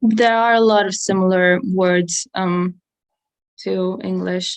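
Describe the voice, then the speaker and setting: Speaking at a very slow pace, a woman with a medium pitch keeps her intonation fairly even. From southern Germany. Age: 20s. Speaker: guest YouTuber musician. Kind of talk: casual livestream chat. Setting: long-distance video call.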